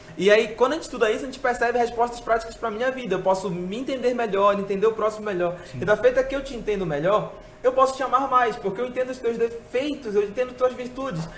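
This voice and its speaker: Extremely high in pitch, a man talks at a very fast pace with ordinary pitch variation amid noticeable background noise. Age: 20s. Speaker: church speaker and thinker. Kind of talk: casual interview chat.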